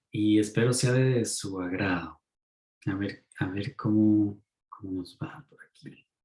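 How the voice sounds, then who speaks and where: Very slow and somewhat breathy, a man talks with a dark, mellow tone and a fairly low pitch. His pitch varies in an ordinary way. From Mexico. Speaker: ecopsychologist lecturer. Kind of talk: online talk.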